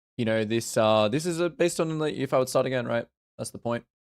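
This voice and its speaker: A man with a slight Australian accent, medium in pitch and fairly quick, with ordinary pitch variation and a dry, close sound with no echo. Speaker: video game coach streamer. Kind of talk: live stream commentary. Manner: halting.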